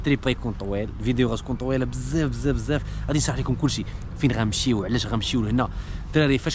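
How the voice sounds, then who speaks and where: Very fast speech from a man comes through noticeable background noise, with a dry sound and no echo. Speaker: vlogger. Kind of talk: casual vlog chat. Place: street. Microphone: phone near.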